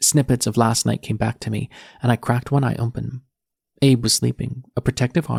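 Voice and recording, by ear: Someone reads aloud in a natural voice with fairly even intonation over a quiet background.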